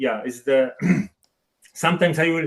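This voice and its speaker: A man with a Polish accent, ordinary pitch variation, and a quiet background. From Poland, Szczecin. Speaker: experimental photographer. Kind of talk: webinar presentation. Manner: halting.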